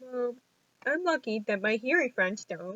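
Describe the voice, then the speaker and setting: Her intonation is lively. This woman's pace is fairly slow. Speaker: deaf vlogger. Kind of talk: casual vlog monologue. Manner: talkative.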